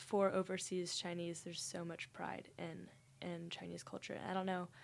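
Moderate pace and fairly low pitch in a woman's plain, everyday voice. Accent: American. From Texas, Dallas. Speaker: university student. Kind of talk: casual interview.

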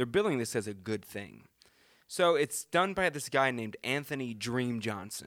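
In a very clean recording with a silent background, a man with an American accent talks at a moderate pace in an ordinary speaking voice of medium pitch. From US South (Charleston, South Carolina). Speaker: podcast co-host. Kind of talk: casual chat. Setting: studio.

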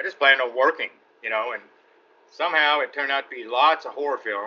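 This speaker has a Texan accent. The delivery moves at a fairly quick pace. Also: man. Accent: Texan Southern US. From Texas. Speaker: actor. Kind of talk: casual interview.

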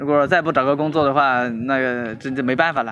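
A man talks at a fairly quick pace with fairly even intonation, noticeable background noise behind him. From China, Hubei. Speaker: courier. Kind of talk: interview. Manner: halting, many fillers.

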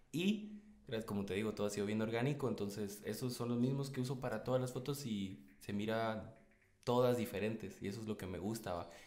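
A man speaks with a Guatemalan accent and ordinary pitch variation. Audible room echo surrounds his voice. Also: medium pitch for a man, fairly quick pace. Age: 20s. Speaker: photographer and videographer. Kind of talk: casual chat.

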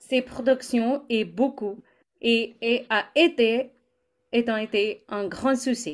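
A woman with an ordinary speaking voice talks at a fairly slow pace, her pitch fairly high and its variation ordinary, on a very clean recording with a silent background. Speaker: co-host.

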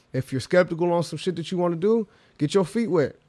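A man talks at a fairly high pitch. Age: 20s. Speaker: actor and entrepreneur. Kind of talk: casual chat. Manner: energetic.

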